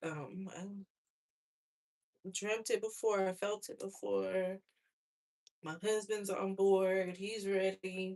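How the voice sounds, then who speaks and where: Soft-spoken and very slow, a woman with an American accent talks in a flat monotone with long, frequent pauses and big swings in loudness. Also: medium pitch for a woman. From USA. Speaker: hair vlogger. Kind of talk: casual chat.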